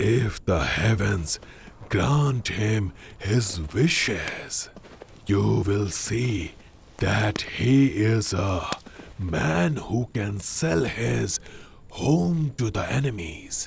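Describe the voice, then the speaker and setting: A man's put-on character voice, fairly low in pitch, with lively intonation at a very slow pace over clear background noise. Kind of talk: solemn period-drama dubbing. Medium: fan dub. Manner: measured, formal, grave.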